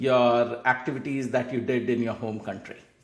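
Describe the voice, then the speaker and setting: A man speaks with audible room echo around him. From India. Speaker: podcast host. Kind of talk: interview.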